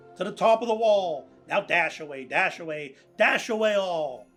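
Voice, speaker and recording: With a Pittsburgh accent, a man speaks at a fairly slow pace over music in the background. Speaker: cartoonist. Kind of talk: poetry reading.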